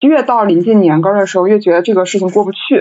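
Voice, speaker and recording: With a normal speaking voice, a woman talks at medium pitch with ordinary pitch variation against a quiet background. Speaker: podcast host. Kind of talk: casual chat, live stream. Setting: online live stream.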